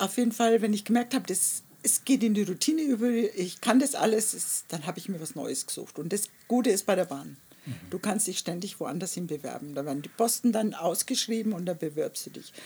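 Somewhat breathy and at a medium pitch, a woman talks at a fairly quick pace in a dark, mellow tone, with lively intonation and big swings in loudness. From Germany, Nuremberg area. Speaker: artist. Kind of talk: interview. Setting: outdoors in a garden.

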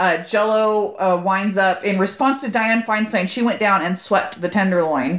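In a normal speaking voice with an American accent, the speaker goes at a moderate pace with ordinary pitch variation and hardly any pauses. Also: woman, medium pitch for a woman. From Southern California (Corona). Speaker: podcast co-host. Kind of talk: casual chat.

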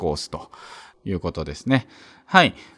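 His pitch moves through very wide swings. The speaker is a man. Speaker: podcast host. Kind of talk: educational talk reading scripture. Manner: conversational, laughs often.

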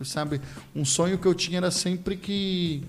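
A man's speech moves at a moderate pace, his pitch varying in an ordinary way. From Rio de Janeiro, Brazil. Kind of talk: podcast interview, personal testimony.

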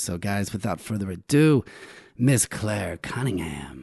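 Against a quiet background, a man talks at a moderate pace with lively intonation and fairly low pitch. It is an ordinary speaking voice. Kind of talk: casual chat. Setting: studio.

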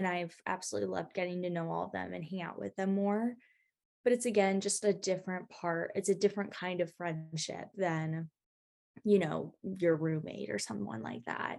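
In a normal speaking voice, a woman talks at a moderate pace with fairly low pitch and ordinary pitch variation. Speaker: college student. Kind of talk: casual chat.

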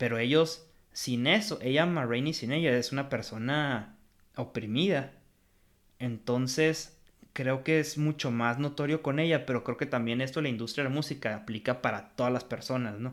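With a Mexican accent, a man speaks at a medium pitch and a moderate pace. The recording is very clean, with a silent background. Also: ordinary pitch variation. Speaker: film podcast host. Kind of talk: casual film review chat.

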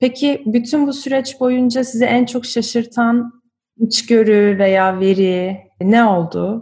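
Somewhat breathy and dark, mellow in tone, the voice moves at a very slow pace with ordinary pitch variation. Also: woman. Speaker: podcast host. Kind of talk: interview.

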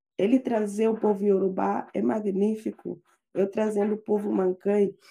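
Her tone dark and mellow, a woman speaks at a fairly slow pace in a medium pitch. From Guinea-Bissau. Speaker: doctoral student. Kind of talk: casual chat.

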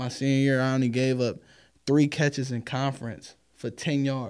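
Monotone, flat intonation comes through on a very clean recording with a silent background. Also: man. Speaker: indoor football player. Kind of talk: casual chat.

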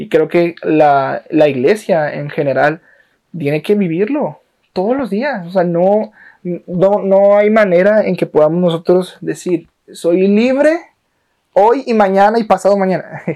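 A man with a high pitch and a dark, mellow tone speaks at a fairly slow pace. His intonation is lively. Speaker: podcast host. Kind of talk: casual chat. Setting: in a home.

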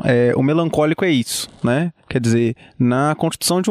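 This man's fairly high voice moves with ordinary pitch variation as he speaks at a fairly slow pace. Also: dry, close sound with no echo. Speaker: podcast co-host. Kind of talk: casual political discussion. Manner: halting, many repetitions.

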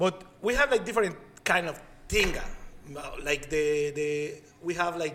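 Someone with a Spanish accent speaks at a fairly slow pace over noticeable background noise. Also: man. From Mexico. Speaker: chef and podcast co-host. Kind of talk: casual chat.

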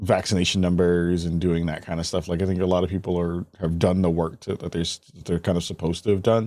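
A man with a very deep, low pitch in a very clean recording over a silent background. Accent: American. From US Northeast (Bronx, New York City). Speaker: video game podcast host. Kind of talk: casual interview.

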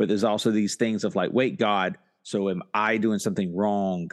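Against a quiet background, a man with a fairly low pitch and a plain, everyday voice speaks at a moderate pace. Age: 40s. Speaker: pastor and podcast co-host. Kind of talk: casual chat.

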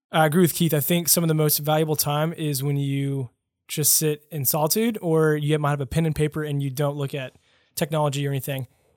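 A man at a very fast pace, fairly high in pitch with fairly even intonation, in a very clean recording with a silent background. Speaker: podcast host. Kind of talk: casual interview. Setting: studio.

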